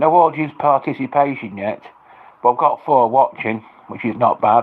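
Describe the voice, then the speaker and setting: Speaking at a moderate pace, a man with an English accent has a medium pitch and ordinary pitch variation. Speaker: livestreamer. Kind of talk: livestream chat. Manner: loud; halting, repetitive.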